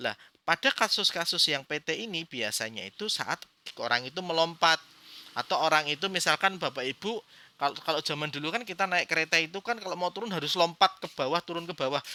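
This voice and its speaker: With a Central Java accent, a man talks at a very fast pace in a high, bright, sharp voice with lively intonation and a dry, close sound with no echo. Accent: Brebes ngapak Javanese. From Indonesia, Brebes (Central Java). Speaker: acupuncture teacher. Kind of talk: lecture. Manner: halting, with fillers.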